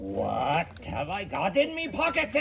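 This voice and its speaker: A man puts on a character voice at a fairly slow pace. Clear background noise is present. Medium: read story.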